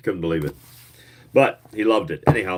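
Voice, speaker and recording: Mumbling in a fairly low pitch, a man speaks. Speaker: YouTuber reading old booklets. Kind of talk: casual chat. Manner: hesitant, many fillers.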